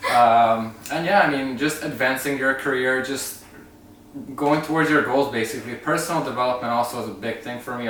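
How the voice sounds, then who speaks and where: Speaking fairly quickly with a Canadian accent, a man at medium pitch shows ordinary pitch variation amid noticeable background noise and audible room echo. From Canada (Romanian-born, Hungarian family). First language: Hungarian. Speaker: travel vlogger. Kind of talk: casual chat.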